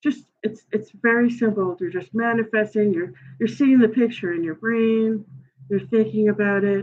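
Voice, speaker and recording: A woman with a Brooklyn accent, medium pitch, ordinary pitch variation and a fairly slow pace. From New York, Brooklyn. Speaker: tarot reader and astrology livestreamer. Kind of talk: livestream tarot reading, casual talk. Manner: casual, halting with many fillers.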